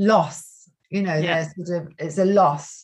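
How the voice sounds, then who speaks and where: The speaker has an unremarkable speaking voice with fairly even intonation. The pace is fairly slow, over a quiet background. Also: woman. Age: 60s. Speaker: yoga teacher. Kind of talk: casual interview.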